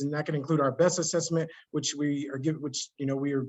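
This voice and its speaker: A fairly quick pace with fairly even intonation. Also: man. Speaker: webinar moderator. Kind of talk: webinar Q&A. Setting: online webinar. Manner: fast.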